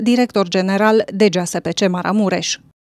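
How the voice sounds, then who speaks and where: A woman speaks in an unremarkable speaking voice, fairly high in pitch with fairly even intonation. The sound is dry and close, with no echo. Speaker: news reporter. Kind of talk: news reading, scripted report. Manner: formal, even.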